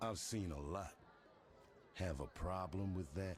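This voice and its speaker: A man puts on a character voice with a very deep, low pitch and ordinary pitch variation. He goes at a fairly slow pace over clear background noise. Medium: video game. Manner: menacing, curt.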